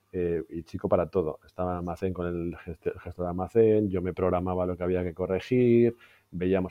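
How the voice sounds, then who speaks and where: A man with a Madrid accent, very deep and low in pitch, at a fairly quick pace with fairly even intonation. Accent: Peninsular Spanish (Madrid). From Spain, Madrid. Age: 40s. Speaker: IT executive. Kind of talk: interview.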